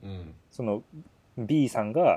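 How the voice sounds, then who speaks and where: Here a man speaks in a dark, mellow tone. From Kyoto. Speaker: podcast co-host. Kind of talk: casual chat. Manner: blunt, harsh-sounding tone.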